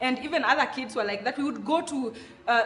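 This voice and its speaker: A woman with a Kenyan accent, high pitch and ordinary pitch variation, amid noticeable background noise. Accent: Kenyan Luo accent, proud of it. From Kenya, Nairobi (Mathare) and Kisumu. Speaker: content creator on African culture. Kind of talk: interview. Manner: casual, halting with self-corrections.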